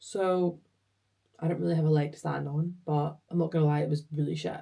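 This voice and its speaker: Somewhat breathy and dark, mellow in tone, the voice moves at a fairly quick pace in a Scottish accent. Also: woman. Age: 20s. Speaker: vlogger and project engineer. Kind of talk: casual vlog chat. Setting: home office. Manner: chatty.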